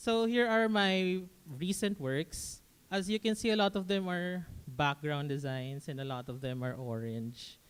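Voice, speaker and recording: A man with a high voice talks at a fairly slow pace, his pitch swinging very widely. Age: 20s. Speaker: animation student. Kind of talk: presentation. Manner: halting.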